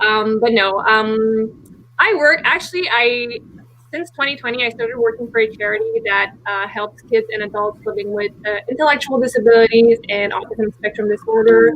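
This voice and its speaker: Over noticeable background noise, a woman with a Quebec accent talks at a moderate pace in a fairly high pitch with ordinary pitch variation. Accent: Québécois French-accented English. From Quebec, Montreal. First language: French. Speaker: book youtuber. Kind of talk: casual chat.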